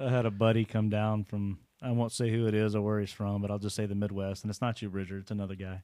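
A man with a Texan accent, fairly low pitch and a dark, mellow tone, talking at a very fast pace with hardly any pauses and monotone, flat intonation. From Texas (Waco). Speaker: bow shop co-owner and hunter. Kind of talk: casual chat. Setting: separate rooms.

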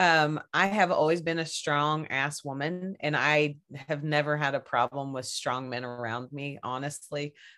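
A bright, sharp voice speaks in a Southern US accent at a fairly slow pace. The intonation stays fairly even over a quiet background. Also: woman, very deep, low pitch for a woman. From Kentucky. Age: 40s. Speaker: podcaster guest. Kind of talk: casual chat.

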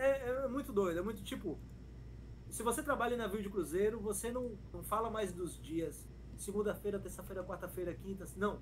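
The man talks at a moderate pace. Room echo is audible. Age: 30s. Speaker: pagode musician and internet personality. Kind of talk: casual chat.

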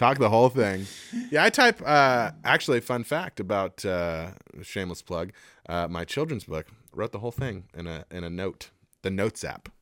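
In a very clean recording with a silent background and a dry, close sound with no echo, a man uses a normal speaking voice at a fairly low pitch and moderate pace, with big swings in loudness. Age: 30s. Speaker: podcast co-host. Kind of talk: casual chat.

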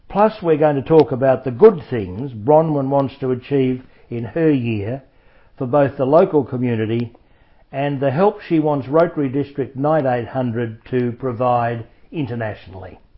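A man speaks at a moderate pace, and his pitch varies in an ordinary way. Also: medium pitch for a man.

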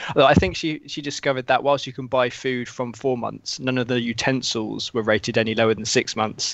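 Speaking with a British accent, a man talks fairly quickly at a medium pitch, his intonation fairly even and his speech with hardly any pauses. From UK. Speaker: video game journalist. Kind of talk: casual chat.

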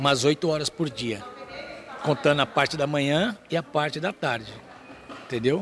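A man's fairly high voice at a fairly slow pace. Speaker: trapeze artist and circus teacher. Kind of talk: interview.

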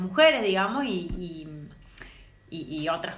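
Her pitch sits at a medium level for a woman, yet it makes very wide swings. Noticeable background noise and audible room echo accompany her. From Córdoba, Argentina. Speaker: feminist podcast co-host. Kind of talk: casual chat. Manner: animated.

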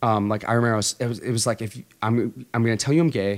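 On a very clean recording with a silent background, a man uses a normal speaking voice at a fairly quick pace with fairly even intonation. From Texas, Puerto Rican family. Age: 20s. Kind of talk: testimony.

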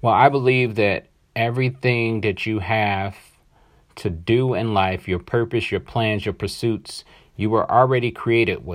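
Against a quiet background, a man with a medium pitch speaks at a fairly slow pace with ordinary pitch variation. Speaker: podcast host. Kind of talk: solo podcast monologue. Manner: casual, with fillers and repeats.

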